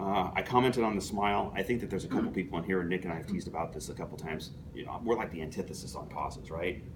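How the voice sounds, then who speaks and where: A man talks very fast with a very deep, low pitch. Noticeable background noise and audible room echo fill the recording. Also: ordinary pitch variation, hardly any pauses. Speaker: toastmasters club member giving a speech. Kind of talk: prepared speech to club audience. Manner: fast, few pauses.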